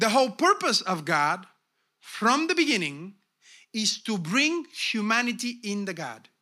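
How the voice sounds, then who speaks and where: A man with a Bulgarian accent uses a raised, projected voice with a bright, sharp tone and high pitch. He speaks very slowly, with very wide pitch swings. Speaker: pastor. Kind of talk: sermon. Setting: church. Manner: animated.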